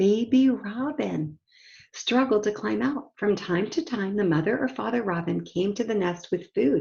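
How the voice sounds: The speaker uses a natural reading voice. The intonation is lively.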